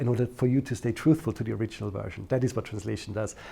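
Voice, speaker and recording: With a non-native accent, a man speaks at a medium pitch in a dark, mellow, somewhat breathy tone, captured in a very clean recording with a silent background. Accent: non-native, noticeable. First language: German. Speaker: interviewee in documentary. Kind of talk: interview.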